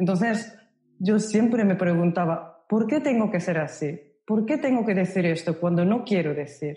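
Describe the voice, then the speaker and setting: In a room with audible echo, a woman speaks fairly slowly in a dark, mellow, somewhat breathy voice, fairly low in pitch, with ordinary pitch variation. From Japan, Osaka. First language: Japanese (speaking Spanish). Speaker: Japanese language instructor. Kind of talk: casual interview conversation.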